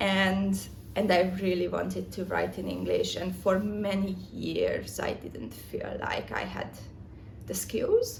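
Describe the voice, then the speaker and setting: A woman with a non-native accent at a very slow pace, with audible room echo and noticeable background noise. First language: not English. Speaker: writer. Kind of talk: casual vlog. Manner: halting.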